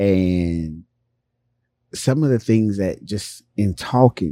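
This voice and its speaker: In a very clean recording with a silent background, the voice moves at a very slow pace with a dark, mellow tone and ordinary pitch variation. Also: man. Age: middle-aged. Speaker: podcast co-host, comedian. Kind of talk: casual chat.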